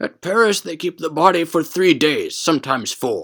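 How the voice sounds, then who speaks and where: A man's put-on character voice, high-pitched, with ordinary pitch variation and a moderate pace. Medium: read story. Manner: gentle, talkative.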